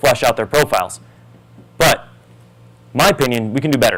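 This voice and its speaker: A man rattles along very fast, his medium pitch varying in an ordinary way. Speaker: conference presenter. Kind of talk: product demo talk. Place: hall.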